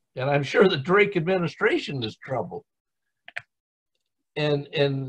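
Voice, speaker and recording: With ordinary pitch variation, a somewhat breathy voice speaks at a fairly slow pace. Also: man. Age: 70s. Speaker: church group participant. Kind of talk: casual discussion.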